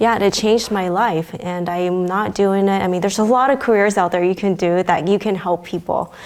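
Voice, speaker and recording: Using a normal speaking voice, a woman with an American accent talks at a fairly quick pace and medium pitch, her intonation fairly even. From China until age 8, then US. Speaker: pediatrician. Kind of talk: interview. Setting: venue interview.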